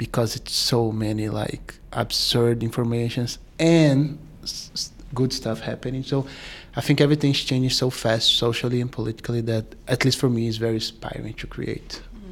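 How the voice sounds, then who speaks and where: With a Portuguese accent, a man speaks at a medium pitch, a moderate pace and fairly even intonation. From Brazil. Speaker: filmmaker. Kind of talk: panel interview.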